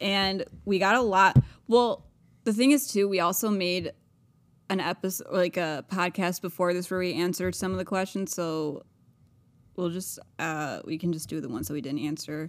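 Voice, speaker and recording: A woman with an ordinary speaking voice, medium in pitch, talks at a moderate pace with ordinary pitch variation. The recording is very clean, with a silent background. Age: 20s. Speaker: podcast co-host. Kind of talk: casual chat.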